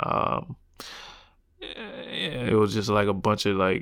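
On a very clean recording with a silent background, a man with a South Carolina accent speaks fairly slowly in a fairly low voice. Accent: Southern US (South Carolina). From US South, South Carolina. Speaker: professional basketball player. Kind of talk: interview. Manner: casual, filler-heavy.

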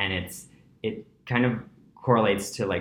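A man with a New York accent and ordinary pitch variation. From New York City (Breezy Point, Queens). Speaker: yoga teacher. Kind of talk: casual interview. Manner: animated.

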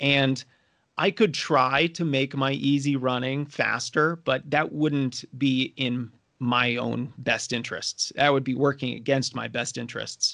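A man with a medium pitch talks at a fairly slow pace in a normal speaking voice. His intonation is fairly even, and the background is quiet. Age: 30s. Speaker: running coach. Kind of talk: casual interview.

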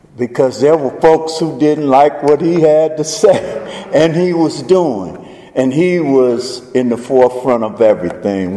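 A man talks at a very slow pace in a strong Southern US accent. Noticeable background noise runs underneath. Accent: deepest Southern drawl. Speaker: faith advocacy speaker. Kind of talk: public speech. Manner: slow-paced normally, speeding up here.

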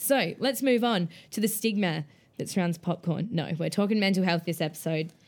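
In a very clean recording with a silent background, a woman with an Australian accent talks at a moderate pace with ordinary pitch variation. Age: 19. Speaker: podcast host and comedian. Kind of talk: interview; casual chat.

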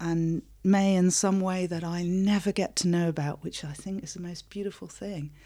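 A woman speaks at a fairly low pitch in a dark, mellow tone. The recording is very clean, with a silent background. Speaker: interfaith minister and acupuncturist. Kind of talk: interview. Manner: laughs often.

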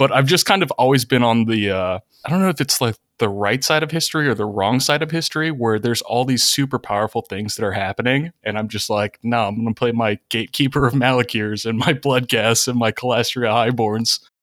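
The speaker is a man with a medium pitch and ordinary pitch variation. He talks at a fairly quick pace. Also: very clean recording, silent background. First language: not English. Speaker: guest, Magic player and college student. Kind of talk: casual chat.

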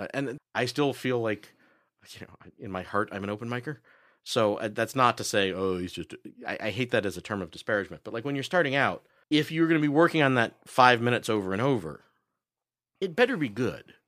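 A man's plain, everyday voice at medium pitch and a fairly quick pace, with lively intonation and big swings in loudness, over a silent background in a very clean recording. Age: 40s. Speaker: comedian and podcaster. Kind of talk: casual chat. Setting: studio.

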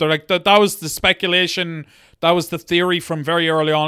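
Recorded very cleanly against a silent background, a man's raised, projected voice sounds dry and close, with no echo. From Monaghan, Ireland. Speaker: podcast co-host. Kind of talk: casual comedic chat about true crime. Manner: joking, irreverent.

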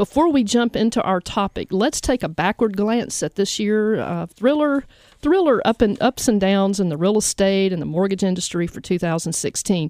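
A woman with a plain, everyday voice and medium pitch talks at a moderate pace with lively intonation and hardly any pauses, on a very clean recording with a silent background and a dry, close sound with no echo. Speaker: radio host and mortgage loan officer. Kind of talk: radio talk show interview. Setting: radio studio. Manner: upbeat, friendly.

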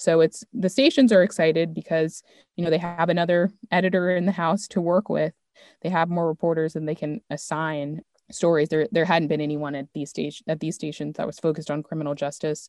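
An unremarkable speaking voice with an American accent moves at a fairly quick pace and fairly even intonation, the sound dry and close with no echo. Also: woman, fairly low pitch for a woman. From Maryland, US. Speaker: managing editor, public radio journalist. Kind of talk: interview conversation. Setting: video call.

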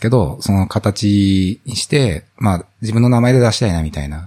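A man's fairly low, dark, mellow voice with lively intonation. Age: 40s. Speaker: office worker and indie app developer. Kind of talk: casual chat.

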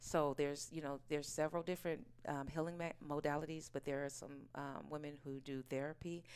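In an American accent, a woman speaks at a fairly quick pace with hardly any pauses. Her very deep, low voice stays monotone and flat. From Oakland, California. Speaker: actress and aromatherapy business owner. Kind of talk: casual interview chat.

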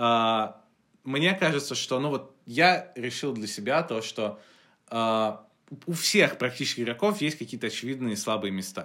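Pitched in the medium range, a man speaks fairly slowly with lively intonation and a bright, sharp tone. The recording is very clean, with a silent background. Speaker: podcast co-host and writer. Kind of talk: casual chat.

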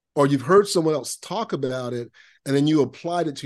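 This man has a normal speaking voice with a fairly high pitch and an American accent. His pitch variation is ordinary, and the background is quiet. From Central Florida (Lakeland). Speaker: productivity consultant and author. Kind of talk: podcast interview.

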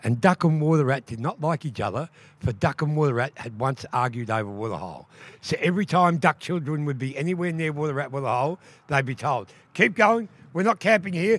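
An animated man with an Australian accent, fairly high pitch, very wide pitch swings and a fairly quick pace, in a very clean recording with a silent background and a dry, close sound with no echo. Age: 60s. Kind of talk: storytelling performance.

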